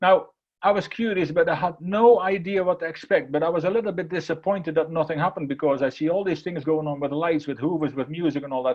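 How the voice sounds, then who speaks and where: Speaking at a very fast pace, a man with a high pitch shows ordinary pitch variation. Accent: Dutch. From Netherlands. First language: Dutch. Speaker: keynote speaker. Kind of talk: motivational talk. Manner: repetitive stammering restarts.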